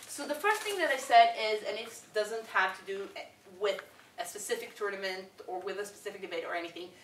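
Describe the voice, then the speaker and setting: A woman with an Israeli accent at medium pitch, ordinary pitch variation and a fairly quick pace, amid noticeable background noise and audible room echo. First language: Hebrew. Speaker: debating coach. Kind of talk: workshop lecture.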